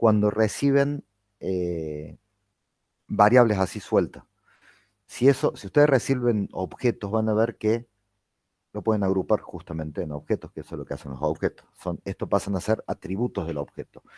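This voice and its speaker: On a very clean recording with a silent background and a dry, close sound with no echo, a man speaks in a fairly low pitch with a dark, mellow tone, lively intonation and big swings in loudness. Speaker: university lecturer. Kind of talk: lecture. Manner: fast.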